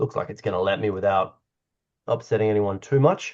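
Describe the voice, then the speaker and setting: Over a quiet background, a man with an Australian accent speaks with lively intonation. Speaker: doctor and climate-health strategist. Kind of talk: online meeting presentation. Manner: casual, conversational.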